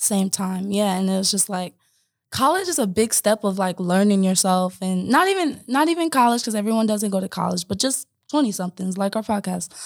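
A woman with an American accent and a normal speaking voice talks fairly quickly at a medium pitch with ordinary pitch variation, in a very clean recording with a silent background. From Omaha, Nebraska. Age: 20s. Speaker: podcast co-host, wellness entrepreneur. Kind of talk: casual chat. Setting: podcast recording.

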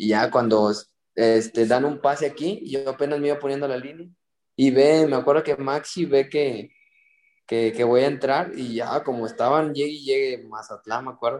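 Speech moves at a moderate pace, with pitch varying in an ordinary way. It is a normal speaking voice. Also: man, fairly high pitch for a man. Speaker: youth footballer. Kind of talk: casual chat.

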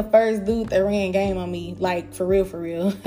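A woman with an American accent speaks in an animated tone at a moderate pace. Music plays in the background. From Dallas, Texas (Pleasant Grove, Oak Cliff, Garland). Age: 30s. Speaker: podcast host. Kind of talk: casual monologue, storytelling. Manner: animated, laughing often.

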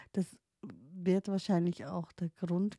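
A woman's dark, mellow tone, dry and close with no echo, at a fairly slow pace with monotone, flat intonation. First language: not German (speaking German). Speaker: podcaster, life coach in training. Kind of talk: personal monologue. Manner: halting, many fillers and restarts.

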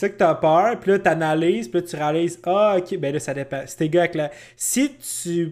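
Moderate-paced, animated speech in a Quebec accent, with ordinary pitch variation. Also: man, high pitch for a man. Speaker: podcast co-host. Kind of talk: casual chat.

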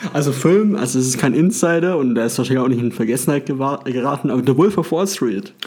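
Through noticeable background noise, a man with a fairly high pitch and lively intonation talks at a very fast pace. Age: 20s. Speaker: podcast host. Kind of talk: casual chat.

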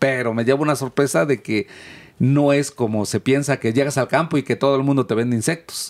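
On a very clean recording with a silent background and a dry, close sound with no echo, a man with a plain, everyday voice speaks at a medium pitch and a moderate pace, with ordinary pitch variation and very even loudness. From Mexico, Oaxaca. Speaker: insect food cooperative producer. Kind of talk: interview.

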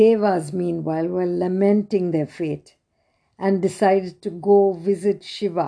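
A natural reading voice with fairly even intonation over a quiet background

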